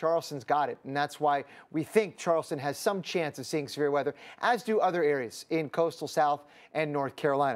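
The background is quiet as a man speaks. His pitch varies in an ordinary way. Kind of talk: weather forecast commentary. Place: studio. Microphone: lapel.

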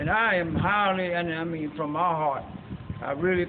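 High-pitched man against light background noise. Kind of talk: testimonial. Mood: grateful, emotional. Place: factory. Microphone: camera far.

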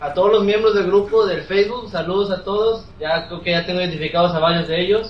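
Over noticeable background noise, a man with a Mexican accent talks very fast in a high voice, with fairly even intonation and hardly any pauses. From Mexico. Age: young. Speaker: gaming youtuber. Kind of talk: casual chat.

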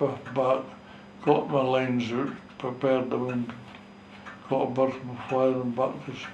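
In a North East Scottish accent, a man speaks in a monotone, flat way with big swings in loudness and long, frequent pauses, amid audible room echo and light background noise. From North East Scotland. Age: 80s+. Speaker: war veteran, fishing skipper. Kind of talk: interview answer. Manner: slow, hesitant. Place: home room. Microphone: camera far.

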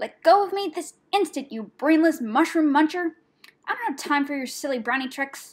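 Putting on a character voice, a woman hisses at a high pitch. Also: moderate pace. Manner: hissing, angry, scolding.

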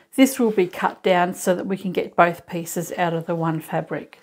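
A woman keeps a moderate pace. Behind her, the background stays quiet. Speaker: sewing instructor. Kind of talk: tutorial. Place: workshop.

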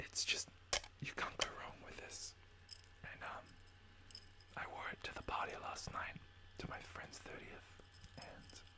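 Whispering at a fairly slow pace, the voice leaves long, frequent pauses. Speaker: ASMR creator. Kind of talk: ASMR whisper, casual talk to camera. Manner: whispered, soft-spoken. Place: home room. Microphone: studio mic.

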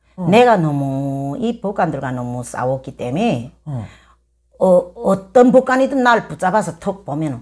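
A woman speaks fairly slowly, and the background is quiet. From North Korea, rural area. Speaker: North Korean defector, former kindergarten teacher; former kindergarten teacher. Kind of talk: interview, personal life story. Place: home room. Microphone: lapel.

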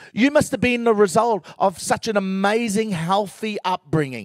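A man speaks at a moderate pace, his voice dry with no echo. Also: quiet background. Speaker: guest. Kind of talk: testimony talk to audience. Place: stage. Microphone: handheld.

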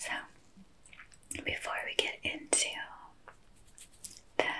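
A woman whispers in a gentle tone at a fairly slow pace. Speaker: energy healing guide. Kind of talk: gentle ASMR-style guided talk. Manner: gentle whispered explanation. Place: home room.

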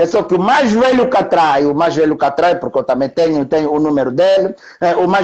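Noticeable background noise accompanies a man talking at a fairly quick pace with lively intonation. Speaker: journalist. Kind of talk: casual chat. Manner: halting.

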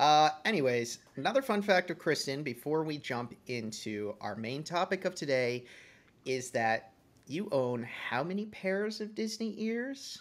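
Recorded very cleanly against a silent background, a man speaks at a fairly slow pace in a fairly high pitch, his voice making very wide pitch swings. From Massachusetts, Boston area. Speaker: podcast host. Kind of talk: casual chat.

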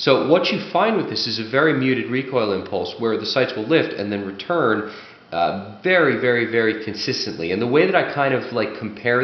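Fairly quick male speech at medium pitch with very wide pitch swings and audible room echo. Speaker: firearms reviewer and competitive shooter. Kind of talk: product review, explanatory monologue. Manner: explanatory, conversational. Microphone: camera far.

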